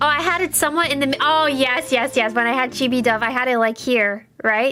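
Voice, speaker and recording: A woman's raised, projected voice, high-pitched with ordinary variation, very even in loudness, at a fairly quick pace amid noticeable background noise. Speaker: vtuber streamer. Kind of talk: live gameplay streaming chat. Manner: halting, many restarts.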